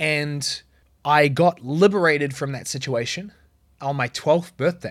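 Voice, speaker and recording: With a New Zealand accent, a man talks at a fairly high pitch and fairly even intonation on a very clean recording with a silent background. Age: 30s. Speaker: business coach podcaster. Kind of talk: solo podcast monologue.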